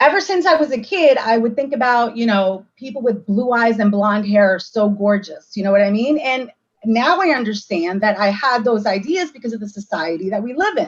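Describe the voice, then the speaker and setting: A woman talks at a fairly quick pace with hardly any pauses. Her fairly high voice is somewhat breathy and lively in intonation. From United States, child of South American immigrants. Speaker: community book discussion participant. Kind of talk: casual group discussion.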